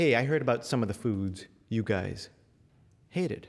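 With a Californian accent, a man speaks at a moderate pace. His tone is animated and playful, with very wide pitch swings. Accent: General American, Californian. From US West Coast, Los Angeles suburbs. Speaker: storyteller. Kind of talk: storytelling performance before a live audience. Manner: animated, conversational, playful audience banter.

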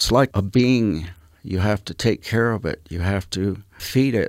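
A man with an American accent speaks in an unremarkable speaking voice, his fairly low pitch showing ordinary variation. The recording is very clean, with a silent background and a dry, close sound with no echo. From US West, northeastern Utah (Ute reservation). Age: 60s. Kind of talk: interview on faith.

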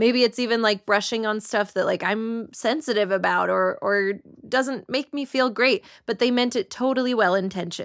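The speaker has a normal speaking voice with ordinary pitch variation at a moderate pace. The recording is very clean, with a silent background. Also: woman, fairly high pitch for a woman. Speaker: writer and comedian. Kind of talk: panel discussion.

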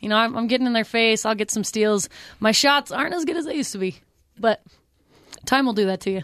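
With an American accent and a fairly high pitch, a woman talks at a very fast pace with lively intonation, broken by long, frequent pauses. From Pleasant Grove, Utah. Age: 30s. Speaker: sideline reporter. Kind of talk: radio interview.

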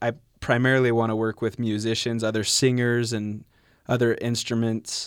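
In a very clean recording with a silent background, a man of medium pitch speaks fairly slowly in a flat monotone. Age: 20s. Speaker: beatboxer. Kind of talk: radio interview. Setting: studio.

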